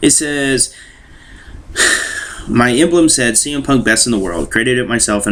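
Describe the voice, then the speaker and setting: A man speaks at a moderate pace with ordinary pitch variation. He has an ordinary speaking voice. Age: 20s. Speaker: gaming YouTuber. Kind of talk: casual vlog monologue.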